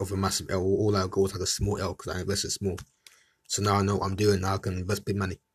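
On a very clean recording with a silent background, a man speaks at a very fast pace in a fairly low, somewhat breathy voice. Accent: London. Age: 20s. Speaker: podcast host. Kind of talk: casual monologue. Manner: animated.

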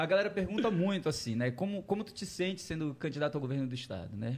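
His voice has a somewhat breathy quality. The man gets through his words at a very fast pace. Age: 30s. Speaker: geography professor and political candidate. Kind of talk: interview. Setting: studio.

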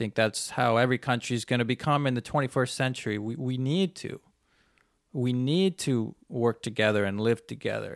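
A plain, everyday voice with a Canadian accent moves at a moderate pace with ordinary pitch variation, sounding dry and close with no echo on a very clean recording with a silent background. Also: man, medium pitch for a man. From Canada. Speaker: podcast host and traveler. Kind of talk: solo monologue, casual storytelling. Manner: casual, conversational, rambling with filler words.

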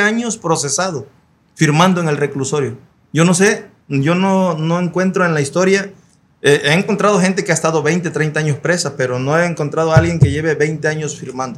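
A man speaks in a plain, everyday voice at a moderate pace, his pitch fairly high and its variation ordinary. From Guerrero coast, Mexico (Acapulco area). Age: 40s. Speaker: community activist leader. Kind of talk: interview testimony.

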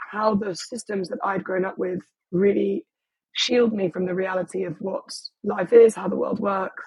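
This woman speaks in an English accent. Her pitch sits in the medium range. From England. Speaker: boutique hotel owner. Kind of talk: interview.

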